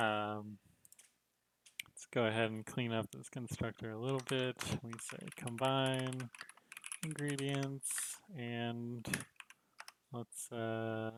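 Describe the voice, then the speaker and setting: Quiet and mumbling, a man at medium pitch speaks at a very slow pace with fairly even intonation and long, frequent pauses, in a dry, close sound with no echo. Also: big swings in loudness. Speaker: game developer streamer. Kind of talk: live coding stream. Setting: livestream. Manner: quiet mumbling.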